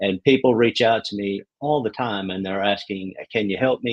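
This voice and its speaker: A fairly low male voice with a Southern US accent, ordinary pitch variation, and a dry, close sound with no echo. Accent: Southern drawl. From New York (Queens). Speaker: real estate broker. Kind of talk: interview.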